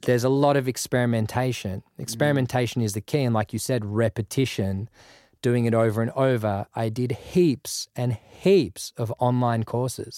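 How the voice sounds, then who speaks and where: A man with an Australian accent speaks at a moderate pace, medium pitch and ordinary pitch variation. The recording is very clean with a silent background and a dry, close sound with no echo. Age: 30s. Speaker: music producer. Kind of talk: casual interview chat.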